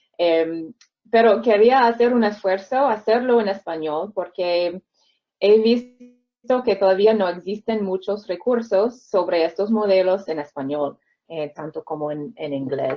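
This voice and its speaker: A woman speaks at a fairly slow pace in a medium pitch. Her intonation is lively. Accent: non-native. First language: English (speaking Spanish). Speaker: reading researcher. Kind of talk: webinar lecture. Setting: video call. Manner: halting, with fillers and repetitions.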